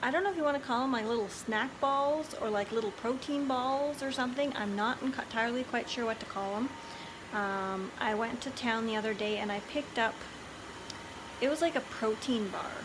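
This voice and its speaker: Noticeable background noise sits behind a woman whose high voice shows ordinary pitch variation. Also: fairly quick pace. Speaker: lifestyle vlogger. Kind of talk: casual vlog chat. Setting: indoors at home. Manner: soft-spoken.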